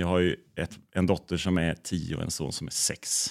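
A very clean recording of a man with a very deep, low pitch, the background silent. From Bohuslän, west coast Sweden. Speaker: photographer. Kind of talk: casual interview chat.

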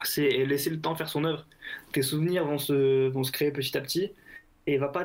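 A man with a fairly high pitch speaks at a moderate pace with fairly even intonation. He leaves long, frequent pauses. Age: 20s. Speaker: football shirt collector. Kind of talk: casual interview.

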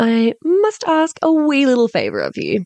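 A woman with an Australian accent is heard with a dry, close sound and no echo. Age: 30s. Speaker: podcast host, sex coach. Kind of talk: casual chat; scripted intro/outro.

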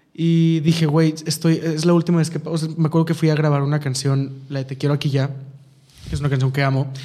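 Over noticeable background noise, a man talks at a fairly quick pace. His fairly high voice stays monotone and flat. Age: 20s. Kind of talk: interview.

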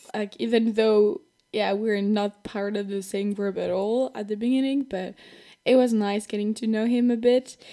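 A woman with a French accent talks at a moderate pace. Her tone is dark and mellow, and her intonation stays flat and monotone. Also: fairly high pitch for a woman. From France. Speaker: podcast host. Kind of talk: personal storytelling. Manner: casual and chatty.

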